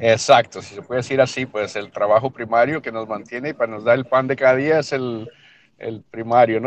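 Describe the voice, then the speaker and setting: At a moderate pace, a man talks in a medium pitch with fairly even intonation and big swings in loudness. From El Paso, Texas (born in Mexico). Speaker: newspaper owner, retired air force veteran. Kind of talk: interview. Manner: halting, repeats words.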